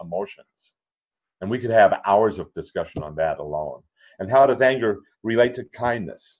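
A man's unremarkable speaking voice with an American accent, fairly low pitch, ordinary pitch variation and a fairly quick pace. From Minnesota. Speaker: author and kindness advocate. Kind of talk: casual interview chat.

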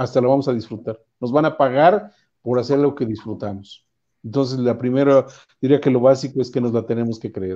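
A man's fairly quick speech with ordinary pitch variation against a quiet background. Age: 60s. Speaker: entrepreneur, invited speaker; speaker. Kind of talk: lecture. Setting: video call. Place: home room. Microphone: earbuds.

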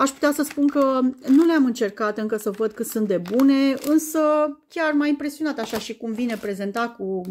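A high-pitched woman's voice with lively intonation over light background noise. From Romania. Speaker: YouTuber. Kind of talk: unboxing video. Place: home room. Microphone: phone near.

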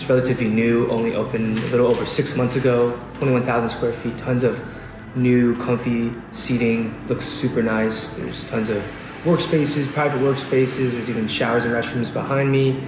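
Clear music plays in the background. Over it, a man speaks at a moderate pace with monotone, flat intonation. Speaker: travel vlogger. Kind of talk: casual vlog chat.

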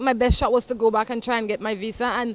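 Someone talks at a fairly quick pace in a dry sound with no echo. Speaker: show host. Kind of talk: talk show chat and advice. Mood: upbeat, amused. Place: street. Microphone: handheld.

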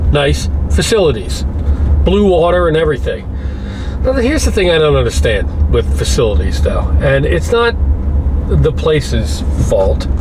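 At a fairly slow pace, a man speaks over noticeable background noise. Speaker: road trip vlogger. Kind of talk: casual vlog chat. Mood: jokey, mildly ranting. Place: car. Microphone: phone near.

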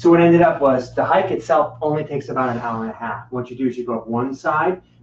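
A man talks at a very fast pace with ordinary pitch variation and big swings in loudness. Audible room echo and light background noise are present. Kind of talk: casual chat. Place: home room.

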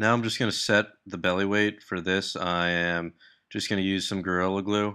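Over a quiet background, a man with a fairly low pitch and a bright, sharp tone speaks at a moderate pace in a monotone, flat intonation. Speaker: hobby lure maker. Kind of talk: tutorial voice-over. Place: workshop. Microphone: phone near.

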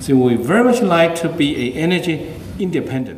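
A man with a Chinese accent, fairly high-pitched, with very wide pitch swings and a moderate pace, over light background noise and audible room echo. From China, Beijing. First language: Mandarin Chinese. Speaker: scientist and research administrator; conference speaker. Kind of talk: conference speech. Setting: conference stage with audience. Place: hall. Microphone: podium.

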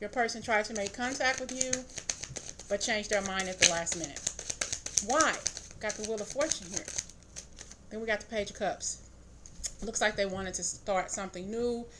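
Against loud background noise, a woman speaks at a moderate pace with ordinary pitch variation and long, frequent pauses. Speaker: tarot reader. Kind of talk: tarot reading commentary. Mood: calm, thoughtful. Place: home room. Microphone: phone near.

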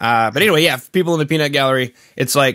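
A man's voice with ordinary pitch variation, dry with no echo, over a quiet background. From Canada. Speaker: podcast host. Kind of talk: casual interview chat. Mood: reflective, earnest. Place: home room. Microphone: studio mic.

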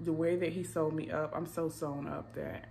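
Light background noise is present. Over it, a woman keeps a moderate pace. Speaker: vlogger. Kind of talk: casual vlog chat. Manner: tired, weak post-op voice. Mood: tired, relaxed, candid. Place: home room. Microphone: phone near.

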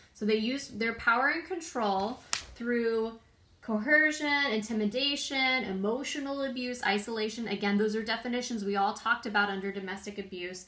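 A woman speaks with ordinary pitch variation, and some room echo can be heard. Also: moderate pace. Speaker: prevention educator. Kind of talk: informational talk. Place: home room. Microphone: phone near.

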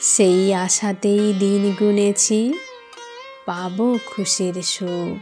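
Music plays in the background as a woman at medium pitch speaks with fairly even intonation. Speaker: poet reciting own poem. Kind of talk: poetry reading.

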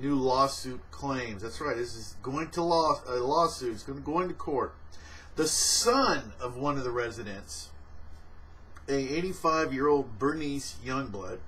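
A man talks with ordinary pitch variation, keeping a fairly slow pace. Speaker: vlogger. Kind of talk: casual news commentary. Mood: amused. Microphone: webcam.

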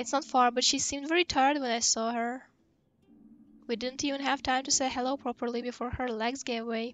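Over music in the background, a woman speaks fairly quickly in a high pitch with monotone, flat intonation. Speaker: gaming video creator. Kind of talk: reading video game dialogue aloud.

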